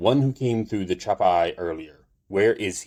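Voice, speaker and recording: A man speaks in a put-on character voice at a fairly low pitch and a moderate pace, in a very clean recording with a silent background. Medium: read story. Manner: grandiose, intoning.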